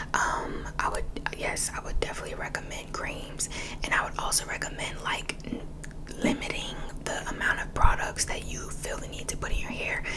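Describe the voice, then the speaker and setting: Through noticeable background noise comes a whisper at a moderate pace. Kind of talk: ASMR whisper ramble. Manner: whispered.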